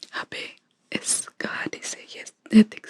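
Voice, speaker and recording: A woman whispers. The sound is dry and close, with no echo. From India. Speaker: ASMR creator. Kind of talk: ASMR story reading. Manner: whispered.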